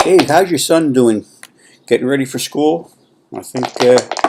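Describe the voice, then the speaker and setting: This man has an unremarkable speaking voice. He talks at a moderate pace. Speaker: fantasy baseball league commissioner. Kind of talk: casual video commentary. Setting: at home. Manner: soft-spoken. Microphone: laptop.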